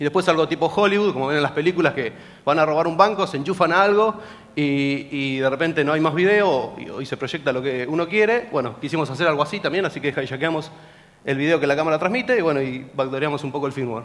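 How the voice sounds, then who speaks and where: Pitch moves in an ordinary way as a man talks very fast. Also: fairly high pitch for a man. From Argentina, General Pico, La Pampa; La Pampa, Argentina. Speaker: security researcher; presenter. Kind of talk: conference talk. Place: hall.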